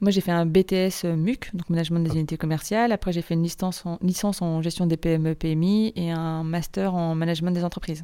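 A woman's fairly quick delivery with hardly any pauses and fairly even intonation. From France, Nantes. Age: 30s. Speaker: association director and freelance event organiser. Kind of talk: interview. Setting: in person at the guest's offices.

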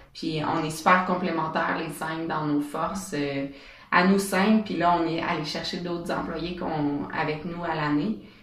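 Noticeable background noise and audible room echo fill a recording where the speech moves fairly slowly. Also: woman, fairly low pitch for a woman, fairly even intonation. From Quebec, Bas-Saint-Laurent. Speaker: entrepreneur, event organizer. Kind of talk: interview. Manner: halting, many fillers.

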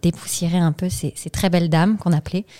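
Here a woman talks at a fairly quick pace and a fairly low pitch. She has an ordinary speaking voice. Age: 30s. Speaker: CSR consultant, company co-founder. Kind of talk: interview.

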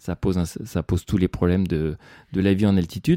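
Recorded very clean with a silent background and a dry, close sound with no echo, a man speaks in a dark, mellow tone. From western France, Le Mans. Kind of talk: personal storytelling. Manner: hesitant, many fillers.

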